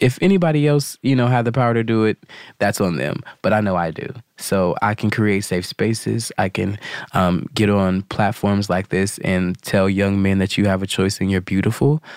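A man with an ordinary speaking voice, fairly low in pitch with ordinary variation, at a moderate pace, dry and close with no echo. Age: young. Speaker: ballroom community member. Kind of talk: group conversation.

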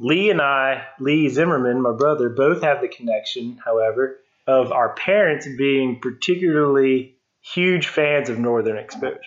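A man speaks in an ordinary speaking voice at a fairly high pitch, keeping a moderate pace and ordinary pitch variation. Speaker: guest fan discussing the show. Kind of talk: casual chat.

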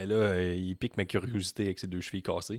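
Speech in a Quebec accent runs at a fairly quick pace, dry and close with no echo, on a very clean recording with a silent background. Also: man. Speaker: wrestling podcast co-host. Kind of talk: casual chat. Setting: live stream.

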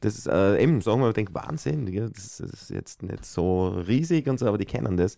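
Using a plain, everyday voice, a man talks at a moderate pace with hardly any pauses. His pitch is fairly low, his intonation lively, and his loudness swings widely. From Austria, Styria (Bruck an der Mur). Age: 40s. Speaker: singer. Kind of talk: casual chat.

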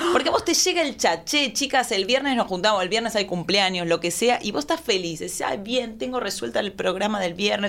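Noticeable background noise sits behind a woman with a medium pitch. She speaks at a fairly quick pace with lively intonation and hardly any pauses. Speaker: comedian. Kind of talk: comedic casual chat.

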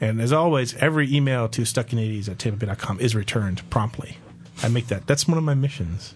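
Somewhat breathy and at a medium pitch, a man speaks at a fairly quick pace with ordinary pitch variation and very even loudness. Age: 30s. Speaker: podcast host. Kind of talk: casual chat. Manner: playful.

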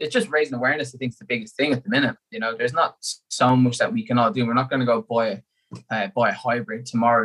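In an Irish accent, the speaker talks at a very fast pace with lively intonation, in a dry, close sound with no echo. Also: man. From Ireland. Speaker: endurance athlete. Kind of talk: casual chat.

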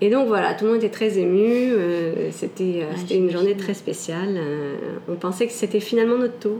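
Against noticeable background noise, a woman talks at a moderate pace and medium pitch with ordinary pitch variation. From Canada (Quebec), with stays in France. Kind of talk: personal testimony interview. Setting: at home.

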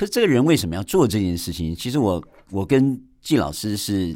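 Captured in a very clean recording with a silent background, a man speaks at a fairly quick pace with a fairly low pitch and very wide pitch swings. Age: 50s. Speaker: podcast host and abstract painter. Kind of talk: radio interview; podcast monologue. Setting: radio studio.

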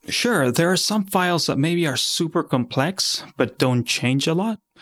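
The talk moves at a fairly slow pace with a Spanish accent. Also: man. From Argentina. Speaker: software company founder. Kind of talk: interview. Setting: video call.

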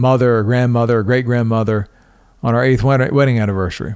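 Man at a moderate pace, with fairly even intonation. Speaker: podcast host. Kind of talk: solo monologue.

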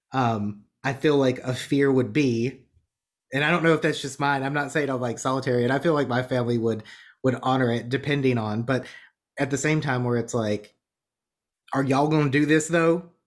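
In a normal speaking voice, a man talks at a fairly quick pace with fairly even intonation on a very clean recording with a silent background. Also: medium pitch for a man. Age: 30s. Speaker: podcast host. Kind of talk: casual chat.

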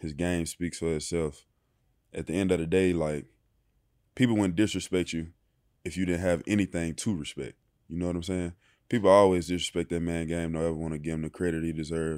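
With a Mississippi accent, a man speaks at a very deep, low pitch with fairly even intonation and long, frequent pauses. The recording is very clean, with a silent background. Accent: US Southern, Mississippi. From Mississippi (small town near Oxford). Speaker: professional football player. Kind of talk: interview. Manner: soft-spoken.

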